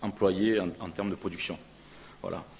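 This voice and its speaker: A man is speaking. His pitch is fairly low. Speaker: pharmaceutical company representative. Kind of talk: conference presentation. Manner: halting, many hesitations.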